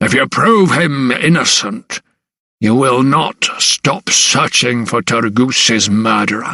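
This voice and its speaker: In a raspy, put-on character voice, a man speaks at a fairly slow pace with lively intonation and very even loudness. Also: medium pitch for a man. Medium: read story. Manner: booming, blustering.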